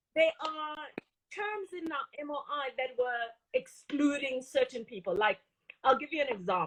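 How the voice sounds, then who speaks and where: A woman talks at a moderate pace in a Botswana accent, her high pitch swinging very widely. The sound is dry and close, with no echo. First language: Setswana. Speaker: industry association CEO. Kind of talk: interview.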